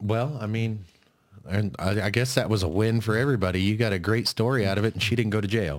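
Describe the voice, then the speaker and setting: On a very clean recording with a silent background, a man with an American accent talks at a very fast pace and a fairly low pitch. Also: ordinary pitch variation. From US Midwest (northeast Kansas). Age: 30s. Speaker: podcast host. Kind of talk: casual interview chat.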